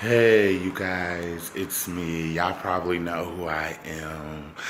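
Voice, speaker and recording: A quiet voice at a very slow pace with fairly even intonation, an American accent and noticeable background noise. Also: man, very deep, low pitch for a man. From Minnesota, Saint Paul. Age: 20s. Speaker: vlogger. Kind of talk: casual self-introduction vlog. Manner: halting, many fillers and repeats; kept quiet, family sleeping.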